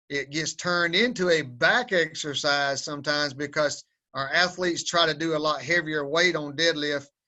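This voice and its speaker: Speaking with a strong Southern US accent, a man keeps his fairly high pitch on fairly even intonation. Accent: strong Southern drawl. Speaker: powerlifting coach. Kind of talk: webinar instruction.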